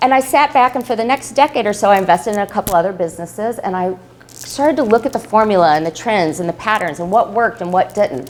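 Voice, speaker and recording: Very fast, animated speech with lively intonation. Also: woman. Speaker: business consultant giving a talk. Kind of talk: live presentation to an audience. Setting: room with live audience.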